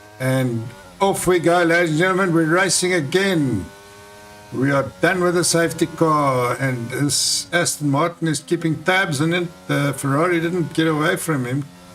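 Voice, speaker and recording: A man speaks at a moderate pace in a fairly high pitch, with ordinary pitch variation and very even loudness. Noticeable background noise runs underneath. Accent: South African. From South Africa. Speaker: sim racing commentator. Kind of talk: live commentary. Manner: animated.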